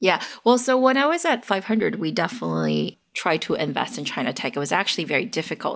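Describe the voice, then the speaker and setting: A woman's voice with vocal fry and an American accent. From US West Coast, San Francisco Bay Area. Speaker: tech investor and analyst. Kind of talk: interview.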